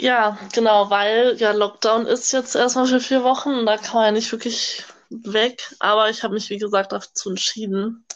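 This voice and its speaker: Keeping a moderate pace, a woman talks in an ordinary speaking voice. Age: young. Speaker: au pair, podcast co-host. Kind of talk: casual chat. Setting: video call.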